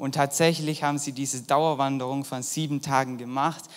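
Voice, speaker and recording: With monotone, flat intonation, a man speaks at a fairly high pitch. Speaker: volunteer youth preacher. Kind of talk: sermon.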